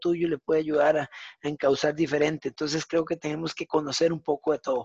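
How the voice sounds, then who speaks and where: A man with a Costa Rican accent speaks at a fairly quick pace and a fairly high pitch. The sound is dry and close, with no echo. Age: 40s. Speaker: fitness coach. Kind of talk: interview conversation.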